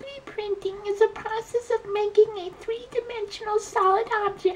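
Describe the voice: A put-on character voice at an extremely high pitch and moderate pace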